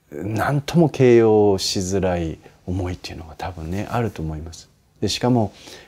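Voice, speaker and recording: A man with a very deep, low pitch and a dark, mellow tone talks at a moderate speed. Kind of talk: advice talk answering a listener's letter. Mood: warm, gently smiling. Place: home room. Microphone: lapel.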